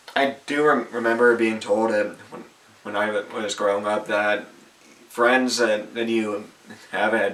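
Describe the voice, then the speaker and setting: The man speaks at a fairly slow pace and a medium pitch, with monotone, flat intonation. Noticeable background noise runs under his voice. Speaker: vlogger. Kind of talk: autobiographical vlog. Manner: halting, with repetitions; partly reading from phone.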